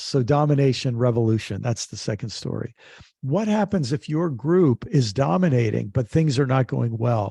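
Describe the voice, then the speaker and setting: In a quiet background, a man speaks at a fairly high pitch with a somewhat breathy, dark, mellow tone. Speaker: author, activist and theologian. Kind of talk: interview answer.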